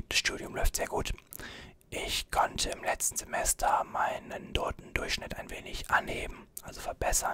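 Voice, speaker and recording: Someone whispers at a moderate pace. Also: man. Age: 20s. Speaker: YouTuber and student; YouTuber. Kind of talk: ASMR Q&A video. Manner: soft-spoken. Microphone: studio mic.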